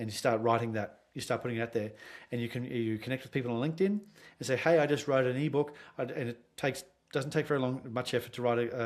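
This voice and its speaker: Speaking very fast with an Australian accent, a man uses a medium pitch and ordinary pitch variation on a very clean recording with a silent background. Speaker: sales consultant. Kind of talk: podcast interview.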